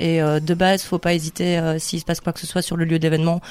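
A woman speaks at a very fast pace. Her pitch sits fairly low. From Liège, Belgium. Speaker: youth worker and market gardener, festival organiser. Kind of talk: casual radio interview.

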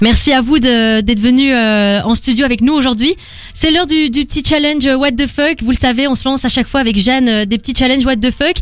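A woman's high-pitched, fairly quick delivery with ordinary pitch variation and very even loudness, over noticeable background noise. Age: 20s. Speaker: radio host. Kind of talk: casual chat. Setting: studio.

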